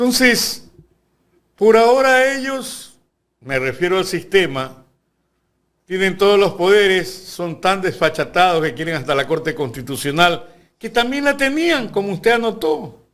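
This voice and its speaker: A man's high-pitched voice moves at a fairly slow pace and makes very wide pitch swings. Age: 70s. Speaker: lawyer and university lecturer. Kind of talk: interview.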